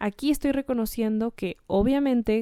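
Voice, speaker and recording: A woman's fairly high voice, dark and mellow in tone, with ordinary pitch variation and a dry, close sound free of echo. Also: very clean recording, silent background. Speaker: educational podcaster. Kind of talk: tutorial.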